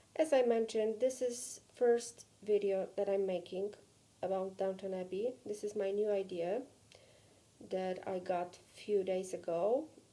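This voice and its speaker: The speech comes at a fairly slow pace in a Polish accent. The tone is dark and mellow, with ordinary pitch variation. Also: woman, medium pitch for a woman. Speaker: vlogger. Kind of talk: personal vlog.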